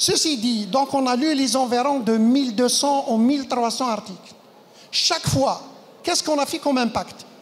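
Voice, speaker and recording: With audible room echo and noticeable background noise, a woman talks at a moderate pace and high pitch, her loudness very even and her pitch variation ordinary. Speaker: conference speaker, medical educator. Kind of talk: conference talk.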